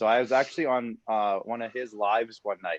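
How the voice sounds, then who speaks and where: With an unremarkable speaking voice, a man talks at a fairly quick pace and fairly even intonation in a dry, close sound with no echo. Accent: Canadian. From Saskatchewan, Canada. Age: 30s. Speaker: podcast producer and social media creator. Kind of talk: casual interview chat.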